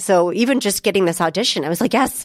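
A woman with an American accent speaks in a normal speaking voice at medium pitch with ordinary pitch variation. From Kansas, US (Topeka). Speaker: actress. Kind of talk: interview.

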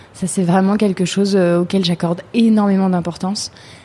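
Noticeable background noise sits behind a woman talking fairly slowly at a medium pitch. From France, Chartres. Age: 30s. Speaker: entrepreneur, handbag brand founder. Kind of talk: interview testimony. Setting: recorded at a shop in Chartres. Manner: halting, many repetitions.

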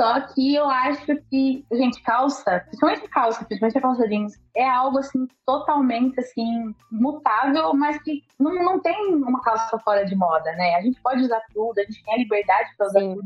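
A woman's high voice at a moderate pace, with lively intonation and hardly any pauses. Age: 20s. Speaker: journalist and content creator. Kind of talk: casual interview chat.

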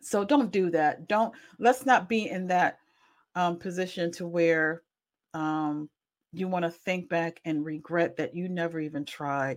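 A woman's fairly low-pitched voice at a fairly slow pace, with ordinary pitch variation, in a very clean recording over a silent background. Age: 40s. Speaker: podcast host and accountability coach. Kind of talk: solo podcast monologue, self-promotion. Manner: halting, many fillers; casual.

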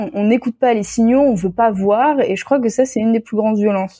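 A woman's dark, mellow tone with ordinary pitch variation, on a very clean recording with a silent background. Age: 20s. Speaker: theology student. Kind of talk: casual chat.

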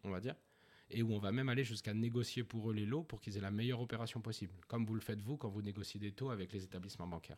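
The recording is very clean, with a silent background. A man speaks very fast at a fairly low pitch with ordinary pitch variation. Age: 30s. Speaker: founder of a new-build property brokerage. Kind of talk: interview.

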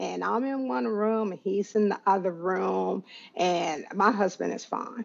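Her intonation is lively. The woman has an unremarkable speaking voice pitched at a medium level. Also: fairly slow pace. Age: 50s. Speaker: systems engineer, coaching client. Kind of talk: interview testimony.

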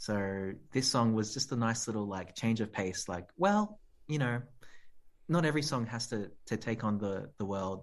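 A man with an Australian accent speaks at medium pitch and a moderate pace, with ordinary pitch variation. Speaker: musician and composer. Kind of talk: casual chat.

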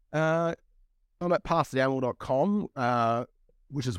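A man talks at a moderate pace with an Australian accent. The sound is dry and close, with no echo. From Australia, Broken Hill, far west New South Wales. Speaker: indie horror author and publisher. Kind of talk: casual interview chat. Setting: remote call.

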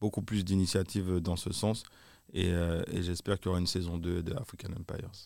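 In a very clean recording with a silent background, a man with a very deep, low pitch speaks at a moderate pace and fairly even intonation. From Martinique. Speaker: music video director. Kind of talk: interview. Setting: live event venue. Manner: halting.

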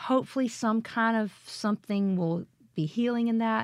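A woman with a Southern US accent at a fairly slow pace, in a very clean recording with a silent background and a dry, close sound with no echo. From Mississippi, Jackson. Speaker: singer-songwriter. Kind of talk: casual interview chat.

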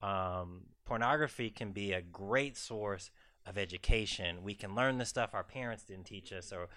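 A man with an American accent has a bright, sharp tone, recorded very cleanly against a silent background. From US South, South Carolina. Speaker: psychiatrist. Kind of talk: expert commentary at live event. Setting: live event with audience.

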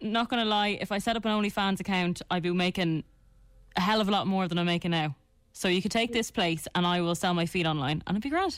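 A woman with an Irish accent talks at a very fast pace, her pitch medium and its variation ordinary. Her loudness stays very even, and the recording is very clean with a silent background. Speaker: radio host.

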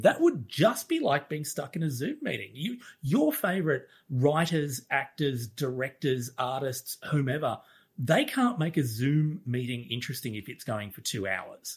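In an Australian accent, a man speaks at a moderate pace with lively intonation and a fairly high pitch. His voice is somewhat breathy, and the recording is very clean with a silent background. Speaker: co-host. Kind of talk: casual chat.

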